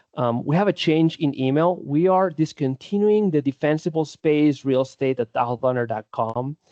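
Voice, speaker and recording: Dry and close with no echo, a man speaks at a fairly high pitch and a moderate pace. His tone is dark and mellow, his pitch variation ordinary, and the background quiet. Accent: Spanish. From Spain. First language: Spanish. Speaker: defensible space supervisor. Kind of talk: presentation.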